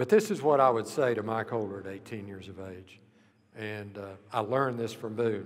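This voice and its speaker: With audible room echo, a man with an American accent talks at a moderate pace, his fairly low pitch carried by fairly even intonation. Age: 70s. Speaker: university leader and former golf coach. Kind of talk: memorial speech.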